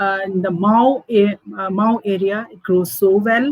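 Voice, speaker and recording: A woman's somewhat breathy voice comes through in a dry, close sound with no echo. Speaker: food entrepreneur. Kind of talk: interview. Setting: video call. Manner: halting, many fillers.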